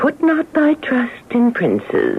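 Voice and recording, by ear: A woman puts on a character voice, speaking slowly at a fairly high pitch with very wide pitch swings. Vocal fry runs through her delivery.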